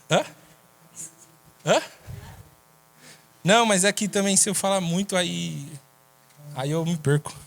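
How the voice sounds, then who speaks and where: Here a man talks at a very slow pace with long, frequent pauses. His pitch is high, with ordinary pitch variation. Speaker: preacher. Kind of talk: sermon.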